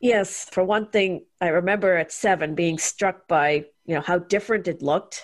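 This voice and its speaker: Speaking at a moderate pace with hardly any pauses, a woman has an unremarkable speaking voice at medium pitch, with very even loudness and ordinary pitch variation. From India (Chennai), early childhood in US. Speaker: guest, religious abuse survivor and activist. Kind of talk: interview conversation.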